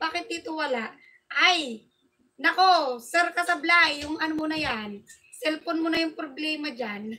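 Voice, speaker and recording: A woman's raised, projected voice, extremely high in pitch with ordinary pitch variation, bright and sharp in tone, at a moderate pace. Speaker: livestream host. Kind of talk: livestream chat. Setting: live stream. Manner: loud; animated.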